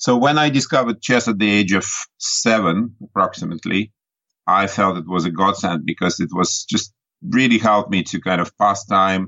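A man's fairly low voice with a Russian accent. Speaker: chess grandmaster and coach. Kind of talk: interview. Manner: halting, many fillers.

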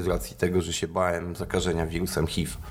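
With a very deep, low pitch, a man talks at a moderate pace and shows ordinary pitch variation. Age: 30s. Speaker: recovering addict and running event organizer. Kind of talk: casual interview.

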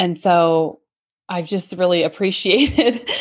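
This woman has a plain, everyday voice, a medium pitch and ordinary pitch variation. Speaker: speech-language pathologist. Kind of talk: casual chat. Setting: video call.

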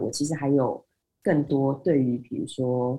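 In a very deep, low voice with a dark, mellow tone, a woman speaks fairly slowly and somewhat breathily. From Taiwan. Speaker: IT business development manager. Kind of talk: interview.

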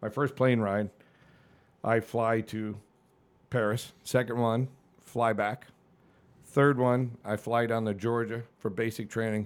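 A speaker with an American accent talks at a very slow pace, leaving long, frequent pauses, in a monotone, flat intonation. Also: man, medium pitch for a man. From New England, Suffield, Connecticut. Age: 50s. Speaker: fire captain and army veteran. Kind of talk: casual interview, life story.

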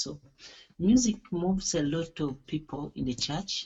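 A man speaks slowly in a somewhat breathy voice. His intonation is lively. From Uganda. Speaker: gospel music school director. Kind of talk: interview. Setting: internet call. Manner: hesitant, with fillers.

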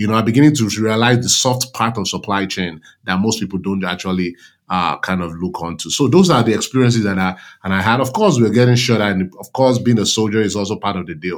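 A man talks at a very fast pace with a Nigerian accent and a fairly low pitch. Pitch variation is ordinary, and the recording is very clean with a silent background. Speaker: army veteran and supply chain consultant. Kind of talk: interview conversation.

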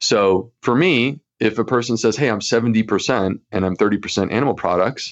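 A man talks with ordinary pitch variation and a moderate pace, set against a quiet background. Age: 40s. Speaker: gastroenterologist and author. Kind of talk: interview.

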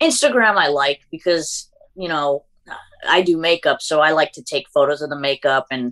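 A woman with a Massachusetts accent speaks in a very deep, low pitch. The sound is dry and close, with no echo. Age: 20s. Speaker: beauty content creator. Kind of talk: casual interview chat.

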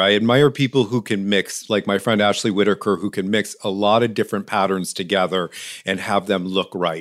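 A man with an American accent talks at a fairly quick pace. His is an unremarkable speaking voice with a fairly low pitch. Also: very clean recording, silent background. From western New York. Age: 50s. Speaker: ceramicist and lamp maker. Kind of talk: interview.

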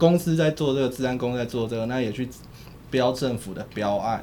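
Moderate-paced male speech at a medium pitch amid noticeable background noise. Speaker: political journalist. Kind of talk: casual chat.

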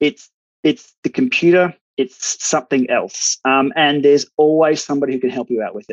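A man with an Australian accent. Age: 40s. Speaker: cycling tech YouTuber and masters cyclist. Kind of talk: casual interview chat.

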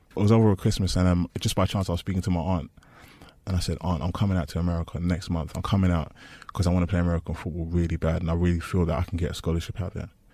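In a London accent, a man talks very fast with a very deep, low, dark and mellow voice and fairly even intonation. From East London. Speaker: former American football player. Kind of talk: personal story interview.

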